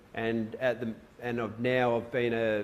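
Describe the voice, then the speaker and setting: Here is a man with an Australian accent. His voice has a medium pitch. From Western Australia. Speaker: surf photographer. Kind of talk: presentation to a live audience. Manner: casual.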